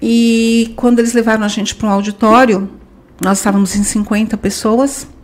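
Somewhat breathy and fairly high in pitch, a woman speaks in a monotone, flat intonation at a moderate pace. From Brazil. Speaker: language school franchise director. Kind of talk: podcast interview.

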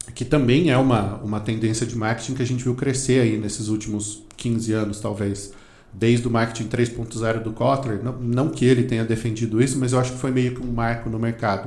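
A man speaks at a moderate pace in a monotone, flat intonation. His voice is somewhat breathy, and there is audible room echo. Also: medium pitch for a man. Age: 40s. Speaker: marketing author and teacher. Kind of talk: casual interview.

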